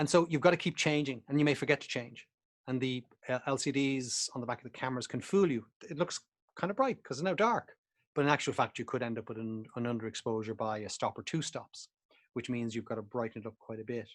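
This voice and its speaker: Talking very fast, a man with an Irish accent speaks at a medium pitch. His pitch variation is ordinary. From Ireland. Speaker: photography instructor. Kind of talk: online presentation. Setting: video call. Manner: casual, hesitant with fillers.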